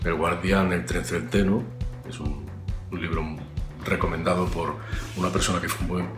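Over clear background music, a man with a very deep, low voice speaks at a moderate pace with ordinary pitch variation and long, frequent pauses. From Galicia, Spain. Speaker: actor. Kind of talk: interview answer. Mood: calm, reflective. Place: home room. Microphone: webcam.

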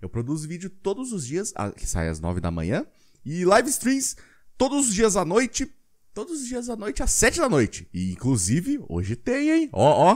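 An animated voice at a moderate pace with big swings in loudness, against a quiet background. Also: man. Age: 20s. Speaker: gaming youtuber. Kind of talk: video pitch. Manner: halting. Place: home room. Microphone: studio mic.

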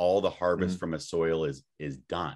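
A man talks at a moderate pace. The background stays quiet. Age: 30s. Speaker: podcast guest or co-host. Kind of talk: casual chat. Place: home room. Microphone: webcam.

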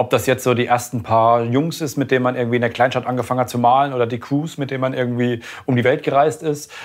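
A man speaks very fast with monotone, flat intonation. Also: medium pitch for a man. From Thuringia, Germany (Schmalkalden). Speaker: graffiti artist. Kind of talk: interview. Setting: artist's studio.

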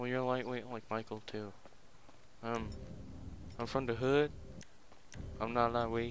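A man speaks in a flat monotone at medium pitch and a fairly slow pace, with long, frequent pauses. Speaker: gaming YouTuber. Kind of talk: gameplay commentary. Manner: casual, joking, profane.

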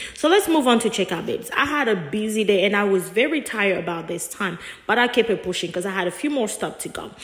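A woman talks at a very fast pace with lively intonation against noticeable background noise. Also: fairly high pitch for a woman. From Africa. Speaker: vlogger. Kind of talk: vlog voiceover narration. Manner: casual, chatty.

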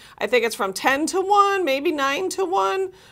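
A woman's raised, projected voice, bright and sharp in tone, swings very widely in pitch against a quiet background. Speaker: talk show co-host. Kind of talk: casual talk show chat. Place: studio. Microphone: lapel.

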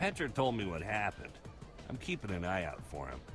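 A man's put-on character voice, low in pitch with very wide pitch swings, at a fairly quick pace over clear music in the background

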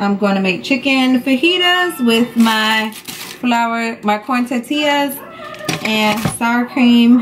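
A woman with a high pitch talks at a very slow pace. Music plays in the background. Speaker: family vlogger. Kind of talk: casual vlog chat. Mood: relaxed, cheerful. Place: kitchen. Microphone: camera far.

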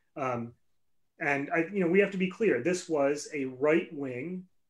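The pitch of this man's voice is fairly high and varies in an ordinary way. He talks at a moderate speed. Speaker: political party livestream co-host. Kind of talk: casual political discussion. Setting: live-streamed online show. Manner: halting, many fillers.

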